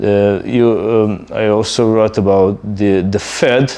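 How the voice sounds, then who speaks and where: A man with a Serbian accent talks at a very slow pace. His pitch is fairly low, with ordinary variation. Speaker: YouTuber. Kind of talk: casual monologue. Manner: hesitant, many fillers.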